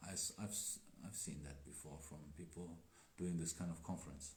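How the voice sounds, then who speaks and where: A man with a non-native accent, very deep and low in pitch, somewhat breathy, at a moderate pace with ordinary pitch variation and audible room echo. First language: not English. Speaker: Daoist teacher. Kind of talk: live stream chat. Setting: Instagram live stream. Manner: hesitant.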